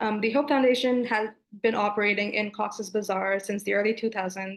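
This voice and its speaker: Speaking with a Bengali accent, a woman keeps a moderate pace and fairly even intonation. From Bangladesh. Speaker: graduate student. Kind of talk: thesis presentation.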